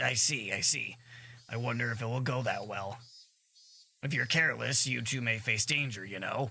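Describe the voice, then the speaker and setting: A man puts on a raspy character voice at medium pitch, speaking at a moderate pace with long, frequent pauses. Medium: game stream. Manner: oily, overly polite, teasing.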